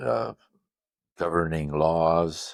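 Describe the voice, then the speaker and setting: In a West Coast accent, a man speaks with a very deep, low pitch. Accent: American West Coast. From Netherlands, then Los Angeles area from childhood. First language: Dutch. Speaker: custom van owner and grille manufacturer. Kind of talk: interview. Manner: hesitant, many fillers.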